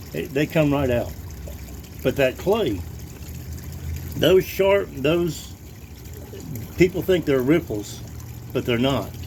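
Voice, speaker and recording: A man speaks very slowly with long, frequent pauses, his fairly high pitch swinging very widely. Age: 50s. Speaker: gold prospector. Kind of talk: casual tutorial. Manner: halting, with many fillers and repetitions.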